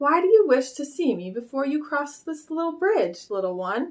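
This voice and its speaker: A woman performs a put-on character voice at a high pitch, moving at a moderate pace with very wide pitch swings. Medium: read story. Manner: gentle yet commanding.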